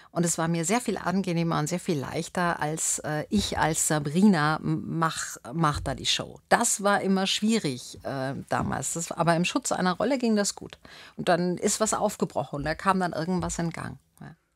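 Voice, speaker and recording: A fairly low-pitched woman at a moderate pace with hardly any pauses and ordinary pitch variation, the sound dry with no echo over a quiet background. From Bavaria, Landshut; Bavaria. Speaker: actress and spiritual coach; actress, spiritual coach. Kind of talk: radio interview. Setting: radio studio. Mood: reflective, warm. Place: studio. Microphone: studio mic.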